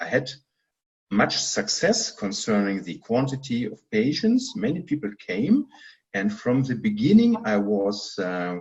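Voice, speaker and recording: A man talks at a fairly slow pace in a medium-pitched, somewhat breathy voice that makes very wide pitch swings. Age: 60s. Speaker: physician. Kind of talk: interview. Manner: halting.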